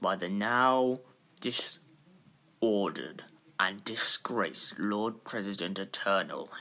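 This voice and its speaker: Doing a put-on character voice, a man speaks at a fairly low pitch. His pace is very slow. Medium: audio drama. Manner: formal, authoritative.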